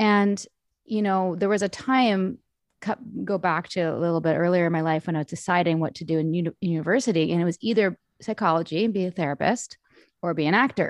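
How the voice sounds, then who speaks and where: A woman with a Canadian accent talks at a very fast pace in a fairly low pitch. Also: ordinary pitch variation. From Canada, Vancouver. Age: 40s. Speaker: cult survivor and author. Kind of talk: interview. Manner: loud and passionate.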